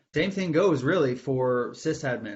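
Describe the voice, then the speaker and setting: Somewhat breathy, a man talks at a medium pitch and a fairly quick pace. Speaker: IT supervisor giving presentation. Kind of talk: webinar presentation.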